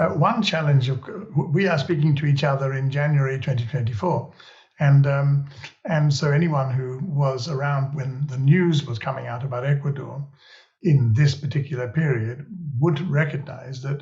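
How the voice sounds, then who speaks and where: Intonation here is fairly even. There is a somewhat breathy quality to the voice. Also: man, fairly high pitch for a man, moderate pace. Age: 70s. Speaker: podcast host. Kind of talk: interview conversation.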